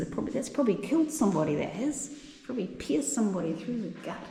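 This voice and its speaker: The speaker has a New Zealand accent and very wide pitch swings. Noticeable background noise and audible room echo fill the recording. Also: woman. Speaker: travel vlogger. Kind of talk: travel vlog narration.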